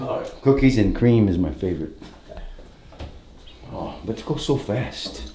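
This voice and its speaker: A man speaks at a fairly slow pace with long, frequent pauses. Room echo is audible. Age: 60s. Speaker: host's father. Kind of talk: casual chat.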